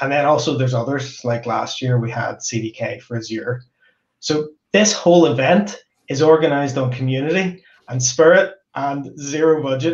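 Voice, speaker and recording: Somewhat breathy, a man speaks with ordinary pitch variation over audible room echo. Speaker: host. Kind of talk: event opening remarks. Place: home room.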